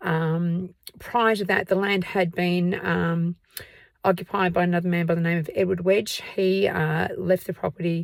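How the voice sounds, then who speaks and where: A woman speaks in an Australian accent at fairly low pitch. Her intonation is monotone and flat. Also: moderate pace. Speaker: museum tour guide and history vlogger. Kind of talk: casual vlog talk to camera. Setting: outdoors at night. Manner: hesitant, many fillers.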